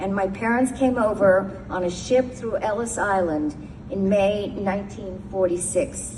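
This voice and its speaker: Fairly slow speech from a woman with an American accent, amid noticeable background noise and audible room echo. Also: medium pitch for a woman, ordinary pitch variation. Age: 70s. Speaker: retired lawyer and memoir writer. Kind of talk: personal testimony speech. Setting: synagogue service. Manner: formal.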